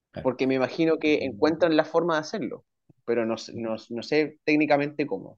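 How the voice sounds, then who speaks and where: A man speaks in a normal speaking voice, pitched fairly high. His pace is fairly quick and his intonation lively. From Chile. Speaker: writer and language and literature teacher. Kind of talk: casual interview.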